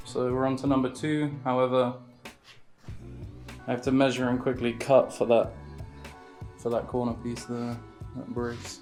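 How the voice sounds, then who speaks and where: Music plays in the background as the voice moves at a moderate pace. The delivery is monotone and flat, with long, frequent pauses. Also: man, medium pitch for a man. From England. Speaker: boat builder. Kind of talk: casual talk to camera.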